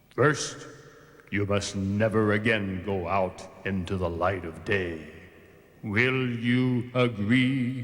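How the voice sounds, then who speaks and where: A cartoonish character voice drags along at a very slow pace, broken by long, frequent pauses. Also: man, fairly low pitch for a man. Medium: puppet show. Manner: stern, commanding.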